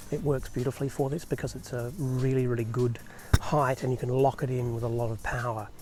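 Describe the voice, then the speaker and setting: A soft-spoken man with an Australian accent talks at a fairly quick pace in a medium pitch, his intonation fairly even, with music playing in the background. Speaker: photographer. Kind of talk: tutorial. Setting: outdoors at night. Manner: soft-spoken, quiet.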